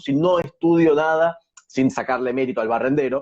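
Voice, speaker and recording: A man with an Argentine accent speaks at a fairly high pitch with ordinary pitch variation. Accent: Argentine Spanish (Rioplatense). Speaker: social media interviewer. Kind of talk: interview. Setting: video call.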